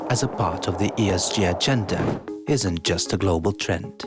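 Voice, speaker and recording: Very wide pitch swings over music in the background. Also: man. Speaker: English teacher and voiceover narrator. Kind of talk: corporate promo narration.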